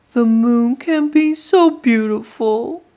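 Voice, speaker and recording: A female-sounding, put-on character voice, high in pitch and very slow in pace. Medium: read story. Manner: soft, earnest.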